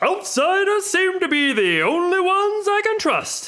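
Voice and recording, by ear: A put-on character voice at an extremely high pitch and moderate pace, over light background noise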